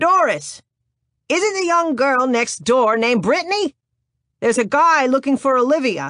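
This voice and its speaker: A put-on character voice, female-sounding, at a high pitch for a woman and a moderate pace. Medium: read story. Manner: gruff, loud.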